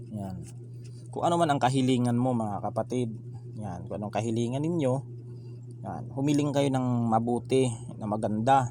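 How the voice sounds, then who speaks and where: A man of medium pitch talks at a moderate pace with fairly even intonation. Long, frequent pauses break up his speech, and the room echo is audible. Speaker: tarot card reader. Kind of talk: tarot reading monologue. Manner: soft-spoken; halting, many fillers. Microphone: no proper microphone, voice too quiet.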